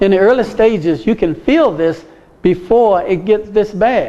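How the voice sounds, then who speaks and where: A man is speaking. He goes at a fairly slow pace. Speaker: medical missionary teacher. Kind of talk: lecture.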